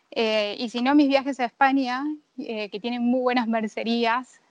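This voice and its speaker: A woman's normal speaking voice, fairly high in pitch, at a fairly slow pace over a quiet background. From Argentina. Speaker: visual artist. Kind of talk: interview.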